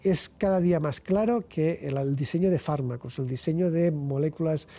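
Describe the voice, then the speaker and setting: The man's high-pitched voice is heard with music playing behind him. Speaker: physics researcher and professor. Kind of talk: interview. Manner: halting, repetitions.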